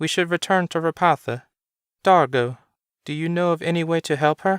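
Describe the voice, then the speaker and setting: A man's put-on character voice, high in pitch and at a moderate pace, on a very clean recording with a silent background. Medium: read story. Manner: authoritative.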